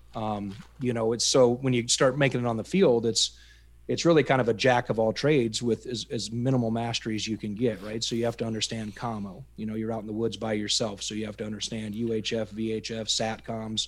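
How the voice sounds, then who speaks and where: Man with a Midwestern American accent, medium pitch, fairly even intonation and a fairly quick pace, on a very clean recording with a silent background. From US Midwest, Iowa. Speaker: army veteran. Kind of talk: interview storytelling. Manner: halting, repeats words.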